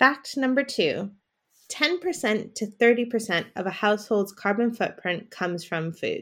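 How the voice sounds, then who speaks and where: In an American accent, a woman talks with an ordinary speaking voice at a fairly high pitch. Her intonation is lively and her pace moderate. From United States. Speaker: podcast co-host, social enterprise worker. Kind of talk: scripted educational podcast chat.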